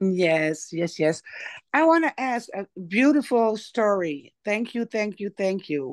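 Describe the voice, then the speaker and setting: With a Dutch accent, a woman speaks at a very slow pace and medium pitch with very wide pitch swings, in a dry, close sound with no echo and a quiet background. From Netherlands. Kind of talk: testimony. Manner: halting.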